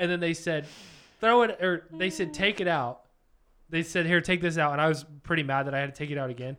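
Talking fairly quickly in an animated tone, a man with a high pitch and a bright, sharp tone uses ordinary pitch variation. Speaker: podcast co-host. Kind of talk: casual chat.

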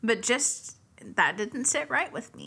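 At a moderate pace, a woman speaks with a fairly high pitch and a bright, sharp tone. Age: 20s. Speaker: horror podcast co-host. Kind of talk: casual chat; scripted narration.

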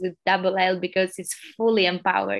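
Spoken in an Albanian accent at a moderate pace. The recording is very clean with a silent background. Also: woman. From Albania (Tirana). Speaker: social entrepreneur, NGO founder. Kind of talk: interview.

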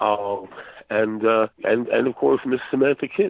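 Ordinary pitch variation at a moderate pace. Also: man. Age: 50s. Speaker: fantasy novelist and game master. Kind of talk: casual interview. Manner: halting, many fillers and repeats.

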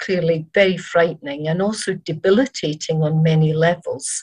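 A woman talks at a moderate pace in a fairly low, somewhat breathy voice. Her pitch varies in an ordinary way. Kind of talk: webinar presentation. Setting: online webinar. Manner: hesitant, filler-heavy, formal.

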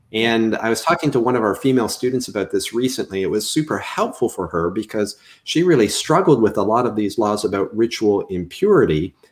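On a very clean recording with a silent background, a man with a Canadian accent talks at a fairly quick pace and medium pitch, with lively intonation and hardly any pauses. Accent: Canadian, audible on the 'ou' diphthong. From Canada. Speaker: seminary professor. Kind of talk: interview.

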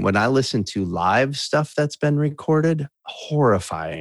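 A man with an American accent speaks at a medium pitch, his voice swinging very widely, in a dry, close sound with no echo. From US Midwest (Wisconsin). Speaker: musician in recovery. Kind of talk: interview testimony.

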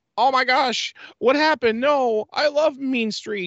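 A woman's whiny, put-on character voice, high in pitch and fairly slow in pace. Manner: mocking, whiny imitation.

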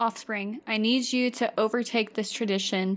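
A woman's plain, everyday voice, fairly high in pitch, with ordinary pitch variation and a fairly quick pace. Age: 20s. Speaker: podcast co-host. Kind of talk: casual chat.

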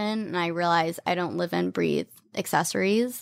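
A woman with an American accent and an ordinary speaking voice talks at a fairly slow pace. Her pitch sits in the medium range. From US South, Atlanta then New York from age eleven. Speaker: style blogger and influencer. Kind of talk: casual interview chat.

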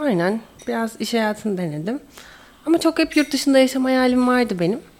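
A woman talks at a fairly quick pace in a high pitch, her voice making very wide pitch swings. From Istanbul, Turkey. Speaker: language student. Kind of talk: interview.

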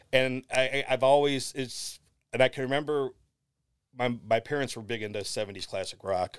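A man's plain, everyday voice with an American accent, medium pitch, fairly quick pace and big swings in loudness, on a very clean recording with a silent background. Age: 40s. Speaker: drummer and sportswriter. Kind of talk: casual interview chat.

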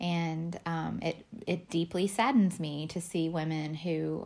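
A woman with a Southern US accent speaks at a fairly low pitch, recorded very cleanly against a silent background. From Alabama. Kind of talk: solo podcast monologue.

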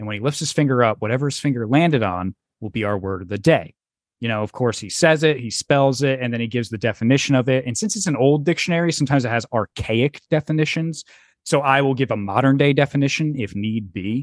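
Speaking very fast with lively intonation, a man at a medium pitch comes through a quiet background in a dry, close sound with no echo. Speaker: podcast host. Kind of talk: casual comedy podcast chat. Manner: profane, jokey.

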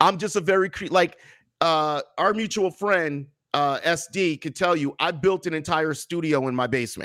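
Speaking at a moderate pace, a man has a high pitch, ordinary pitch variation and a bright, sharp tone. The recording is very clean with a silent background. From New Jersey, US. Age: 40s. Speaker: comedian and author. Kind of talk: casual interview.

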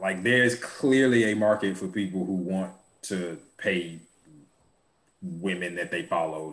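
The man's voice is very deep and low in pitch. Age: 30s. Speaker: podcast co-host. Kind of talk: casual chat.

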